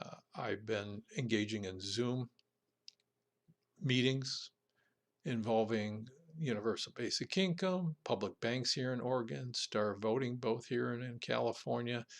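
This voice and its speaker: Long pauses come often in this man's speech. His pace is fairly slow. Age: 60s. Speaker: political podcast host. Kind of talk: solo podcast monologue. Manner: halting, with frequent fillers.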